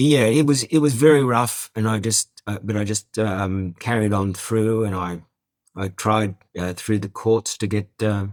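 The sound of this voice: This man talks at a fairly slow pace, his fairly low pitch showing ordinary pitch variation.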